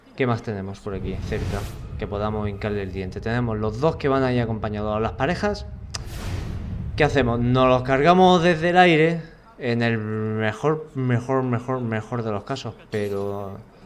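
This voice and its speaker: With lively intonation and a medium pitch, a man talks at a moderate pace over noticeable background noise and audible room echo. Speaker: gaming youtuber. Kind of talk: let's play commentary. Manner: animated.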